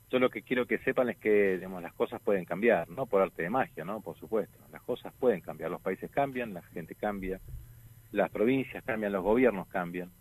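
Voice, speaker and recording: An ordinary speaking voice from a man, fairly low in pitch, at a moderate pace with ordinary pitch variation, big swings in loudness, and a dry, close sound with no echo. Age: 50s. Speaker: lawyer and political candidate. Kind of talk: radio interview.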